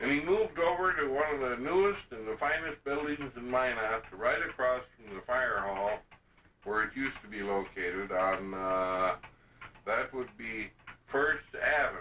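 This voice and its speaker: A man speaks at a moderate pace with lively intonation. There is noticeable background noise. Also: medium pitch for a man. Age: 60s. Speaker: family oral historian. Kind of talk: oral history storytelling. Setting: home video recording.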